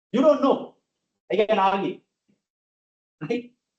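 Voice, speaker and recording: The speaker has a Sri Lankan accent. The pace is fairly slow. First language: Sinhala. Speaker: lecturer. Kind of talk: lecture. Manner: animated.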